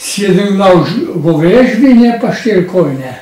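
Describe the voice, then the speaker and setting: A man speaks at a high pitch. Room echo is audible. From Slovenia, Šentvid near Ljubljana; Slovenia. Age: 90s. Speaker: war witness; witness. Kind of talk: oral history testimony. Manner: lively. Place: home room.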